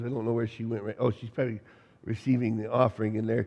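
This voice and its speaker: A man speaks in a medium pitch with a dark, mellow tone. His intonation stays fairly even. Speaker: pastor. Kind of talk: sermon. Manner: halting, many fillers.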